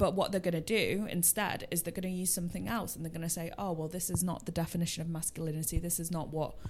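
A woman, in a plain, everyday voice, speaks fairly low in pitch and keeps her intonation fairly even. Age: 20s. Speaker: podcast host. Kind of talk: casual chat.

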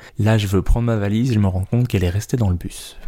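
Dark, mellow tone from a man at medium pitch with a Belgian accent. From Belgium. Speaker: stand-up comedian and podcaster. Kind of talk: solo podcast monologue.

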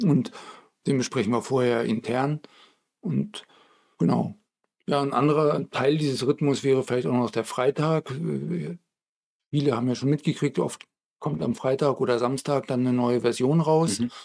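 At a moderate pace, a man speaks at a medium pitch with ordinary variation. Long pauses come often. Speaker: podcast co-host, game studio colleague. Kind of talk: casual chat.

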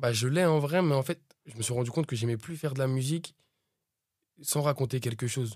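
The somewhat breathy voice has ordinary pitch variation and long, frequent pauses. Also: man, medium pitch for a man, fairly quick pace. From France, Pantin, Seine-Saint-Denis (93). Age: 20s. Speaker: rapper. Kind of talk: interview. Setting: studio.

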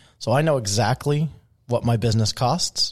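A somewhat breathy man at medium pitch and fairly quick pace, in a dry, close sound with no echo. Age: 40s. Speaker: real estate agent and team leader. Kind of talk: casual interview.

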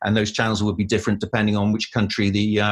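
This man speaks with a Cardiff accent. His pitch sits fairly low. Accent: Welsh (Cardiff). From Wales, Cardiff. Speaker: news producer. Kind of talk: interview.

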